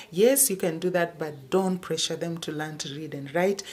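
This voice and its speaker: In a Kenyan accent, the speaker talks at a moderate pace with ordinary pitch variation. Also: woman. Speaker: homeschooling parent vlogger. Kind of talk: tutorial. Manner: halting.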